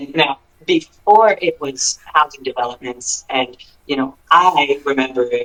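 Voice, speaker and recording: A man speaks with an American accent. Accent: slight Southern, comes and goes. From Pennsylvania. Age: 30s. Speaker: singer-songwriter. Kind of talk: interview. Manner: casual, halting with fillers.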